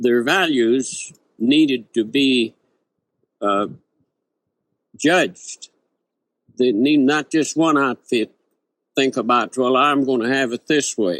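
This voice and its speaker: A man with an American accent at a very slow pace, medium pitch with ordinary variation, long, frequent pauses, and a dry, close sound with no echo. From Oklahoma. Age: 80s. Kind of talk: interview answer. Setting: old tape recording.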